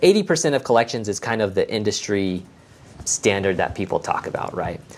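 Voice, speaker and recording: Using a normal speaking voice, a man with an American accent talks at a medium pitch and a fairly quick pace, with lively intonation. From Las Vegas, Nevada. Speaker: accountant. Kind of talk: interview podcast.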